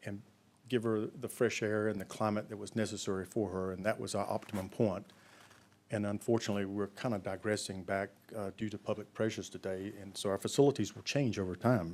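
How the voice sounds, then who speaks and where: A fairly low-pitched man with an American accent, fairly even intonation and a fairly quick pace. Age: 60s. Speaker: pig farmer. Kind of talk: conference talk. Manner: halting, many fillers.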